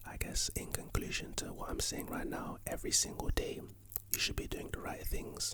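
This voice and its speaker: Noticeable background noise sits under a man whispering at a moderate pace. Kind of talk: whispered ASMR ramble about life and motivation. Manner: whispered, soft-spoken, sleepy.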